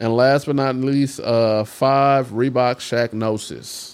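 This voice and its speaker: A man with a medium pitch and a normal speaking voice, fairly even intonation, on a very clean recording with a silent background. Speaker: podcast co-host. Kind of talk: casual chat.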